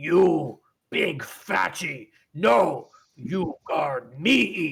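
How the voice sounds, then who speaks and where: A man speaks in a put-on character voice, pitched fairly high for a man, at a very slow pace. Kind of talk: crude broken speech. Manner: boisterous.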